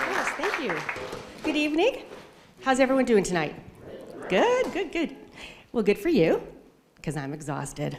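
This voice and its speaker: Amid crowd noise and audible room echo, a woman talks at a moderate pace. She leaves long, frequent pauses. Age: 50s. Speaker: amateur stand-up comedian. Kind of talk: stand-up. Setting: stage with audience.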